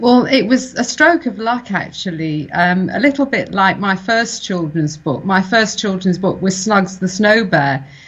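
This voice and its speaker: Barely pausing, a woman with a southern English accent speaks in a medium-pitched, somewhat breathy voice with lively intonation. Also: fairly slow pace. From England (Reading, Berkshire) with Welsh family. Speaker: children's book author. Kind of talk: interview.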